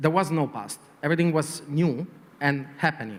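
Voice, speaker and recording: This man speaks in a strong Italian accent at a fairly quick pace, his pitch fairly high. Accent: heavy Italian. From Italy. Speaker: advertising executive. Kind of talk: panel interview. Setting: conference panel. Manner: hesitant, many fillers.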